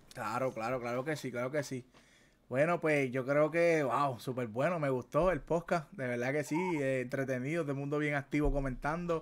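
Speaking at a moderate pace, a man with a Puerto Rican accent has a fairly high pitch. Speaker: gaming podcast host. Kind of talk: casual chat. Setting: livestream. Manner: animated. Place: home room.

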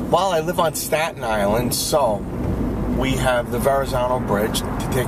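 Over loud background noise, a man speaks at a moderate pace with a dry sound and no echo. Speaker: commuter vlogger. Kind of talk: casual vlog chat. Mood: cheerful, amused. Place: car. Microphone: phone near.

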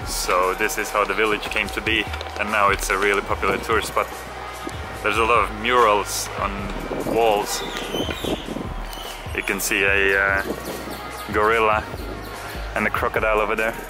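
A man at a moderate pace with long, frequent pauses, clear music playing behind him. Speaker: travel vlogger. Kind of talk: casual vlog chat. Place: waterside. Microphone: phone near.

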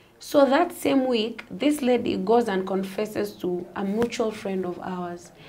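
A soft-spoken woman at a fairly slow pace with ordinary pitch variation, over light background noise. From Kenya. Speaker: gospel singer; guest. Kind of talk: interview testimony; interview answer. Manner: halting. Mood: calm, soft-spoken storytelling. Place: studio.

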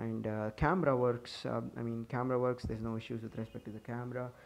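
A man mumbles at a fairly quick pace in a medium pitch. His intonation stays monotone and flat. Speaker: tech YouTuber. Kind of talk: casual tech review to camera. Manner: hurried, some mumbling.

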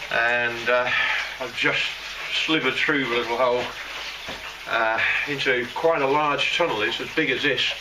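Keeping a moderate pace, a man talks while noticeable background noise carries on underneath. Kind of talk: casual vlog chat. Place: tunnel cave. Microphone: camera far.

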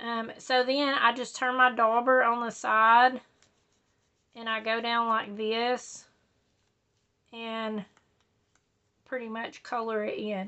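A woman speaks very slowly at a fairly high pitch, in a flat monotone. Her pauses are long and frequent. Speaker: papercrafter. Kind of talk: tutorial. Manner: casual, many fillers.

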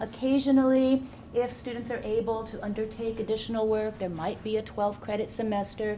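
An unremarkable speaking voice from a woman, fairly high in pitch and at a fairly quick pace, over light background noise. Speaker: program director. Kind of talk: presentation. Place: classroom.

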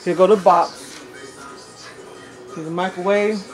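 With faint music in the background, a woman speaks at a slow pace. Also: fairly low pitch for a woman, fairly even intonation.

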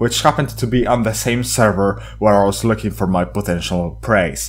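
Noticeable background noise surrounds the voice. A man talks at a moderate pace. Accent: Polish. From Poland. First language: Polish. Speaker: gaming YouTuber. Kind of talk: casual game chat; scripted narration.

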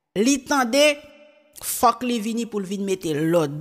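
Very wide pitch swings run through delivery that unfolds fairly slowly. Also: woman, quiet background. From Haiti. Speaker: YouTube news presenter; news presenter. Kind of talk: casual commentary. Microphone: studio mic.

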